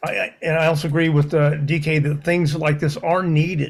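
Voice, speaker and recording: Somewhat breathy, a man speaks at a moderate pace in a fairly high pitch. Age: 60s. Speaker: community meeting attendee. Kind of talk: public comment at community meeting. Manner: halting.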